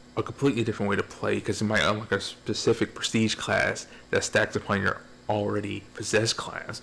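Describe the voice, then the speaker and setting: A man's fairly low voice with vocal fry, fairly even intonation and a very fast pace. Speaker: gaming video reviewer. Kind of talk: casual video game review. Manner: rambling, repetitive.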